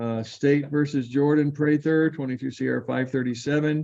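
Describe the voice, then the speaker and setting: The voice has a dark, mellow tone, moving at a moderate pace with monotone, flat intonation. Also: man. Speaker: judge. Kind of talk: court hearing. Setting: video call.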